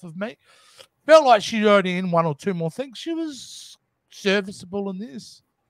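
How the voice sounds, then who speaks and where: In a very clean recording with a silent background and a dry, close sound with no echo, a man with an Australian accent talks at a moderate pace, his high pitch swinging very widely. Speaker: movie review co-host. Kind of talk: casual chat. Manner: animated.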